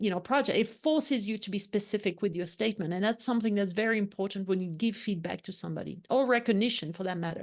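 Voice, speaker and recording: A woman with a medium pitch speaks at a very fast pace with hardly any pauses. Her pitch variation is ordinary, and the background is quiet. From France, Lyon. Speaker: leadership consultant and author. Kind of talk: interview.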